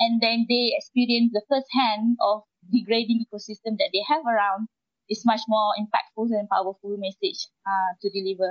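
A woman with a fairly high pitch sounds somewhat breathy and keeps her intonation fairly even. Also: moderate pace. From Malaysia. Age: young. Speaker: marine conservationist. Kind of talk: panel discussion. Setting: live stream from island. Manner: halting.

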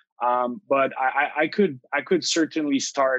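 A man speaks in a Quebec accent at a medium pitch. The sound is dry and close with no echo. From Quebec, Ottawa region (Outaouais). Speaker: tech company CEO. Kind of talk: interview.

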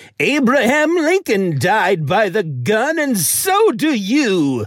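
A put-on character voice, fairly high-pitched and very slow, with very wide pitch swings. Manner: menacing.

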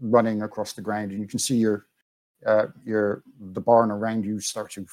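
Quiet surroundings behind an unforced reading voice

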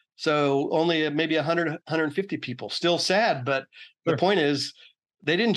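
Against a quiet background, a man with an American accent talks at a moderate pace in a plain, everyday voice with ordinary pitch variation. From Oakland, California. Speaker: author and former solar industry worker. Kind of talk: interview conversation.

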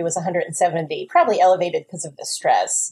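A woman with a New Jersey accent speaks fairly quickly at a medium pitch, her tone dark, mellow and somewhat breathy, her intonation fairly even. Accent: New Jersey American. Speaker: weight loss surgery patient. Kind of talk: explanatory testimony.

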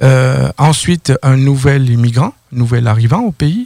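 Somewhat breathy, dark and mellow man's voice with ordinary pitch variation. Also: dry, close sound with no echo. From southern France, near Toulouse. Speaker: credit bureau consultant. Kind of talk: radio interview.

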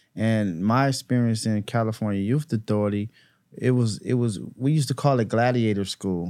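A man speaks at a moderate pace and medium pitch, with ordinary pitch variation and very even loudness, in a very clean recording with a silent background. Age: 40s. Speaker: former prisoner turned youth mentor. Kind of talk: casual interview, life story.

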